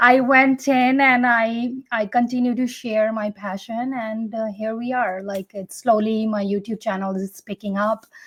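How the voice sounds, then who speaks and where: A woman speaks at a fairly high pitch and a fairly slow pace, with hardly any pauses. Her voice is somewhat breathy and her intonation fairly even, in a dry, close sound with no echo. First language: not English. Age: 40s. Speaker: fitness content creator. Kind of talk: interview answers. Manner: some hesitations and self-corrections.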